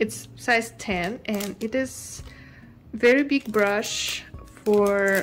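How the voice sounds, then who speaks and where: A woman talks at a very slow pace while faint music sounds in the background. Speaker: artist vlogger. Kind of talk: casual vlog chat. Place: home room.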